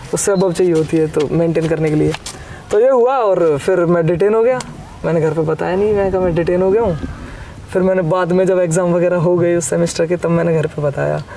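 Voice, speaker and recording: A man speaks at a high pitch with ordinary pitch variation and very even loudness. Noticeable background noise runs underneath. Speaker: rapper. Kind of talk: casual interview.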